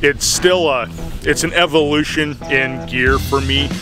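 A man's voice, dry with no echo, with clear music in the background. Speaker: video creator. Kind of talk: casual vlog chat. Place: open country. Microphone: phone near.

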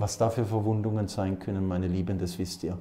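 Speaking at a fairly quick pace, a man with a low pitch and a dark, mellow tone shows little pitch movement.

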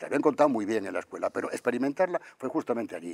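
The speech moves at a very fast pace over a quiet background. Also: man. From Madrid, Spain; Spain. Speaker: architect; interviewee. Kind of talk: interview. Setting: convention center.

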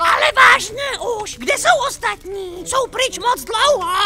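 Over light background noise, a put-on character voice speaks at an extremely high pitch. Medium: dub. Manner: grumpy, demanding.

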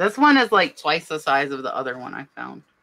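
This woman has a very deep, low pitch and a bright, sharp tone. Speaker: nurse and reseller, co-host; online reseller hosting a live sale. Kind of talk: casual chat. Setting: live stream, online. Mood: cheerful, enthusiastic. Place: home room. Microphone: webcam.

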